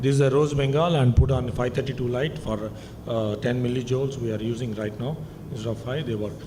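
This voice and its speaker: Over audible room echo, a man talks at a fairly quick pace in a medium pitch with ordinary pitch variation. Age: 60s. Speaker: eye surgeon. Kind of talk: conference lecture.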